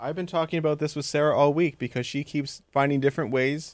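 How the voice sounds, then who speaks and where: The delivery moves at a fairly quick pace. It is a normal speaking voice. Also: man. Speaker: podcast co-host. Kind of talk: casual interview chat.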